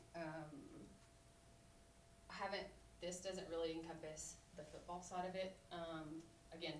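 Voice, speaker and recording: With audible room echo and noticeable background noise, a woman talks in a monotone, flat intonation at a fairly low pitch. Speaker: community member presenting to committee. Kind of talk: presentation at public meeting. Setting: county committee meeting. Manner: fast.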